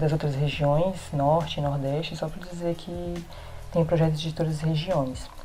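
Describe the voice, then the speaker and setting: In a room with audible echo, a woman speaks at a moderate pace in a very deep, low voice with monotone, flat intonation. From Brazil, Rondônia (Porto Velho). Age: 20s. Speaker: visual artist and teacher. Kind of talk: recorded testimony.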